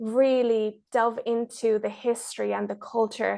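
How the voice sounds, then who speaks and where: A woman's fairly high, fairly slow voice in an Irish accent, against a quiet background. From Ireland, born in Mexico. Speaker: travel filmmaker. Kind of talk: podcast interview.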